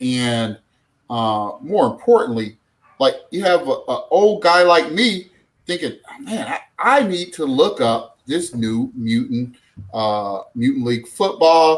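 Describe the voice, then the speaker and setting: Very slowly, a man speaks in a high voice with very wide pitch swings. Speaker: sports podcaster. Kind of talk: casual chat. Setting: live stream.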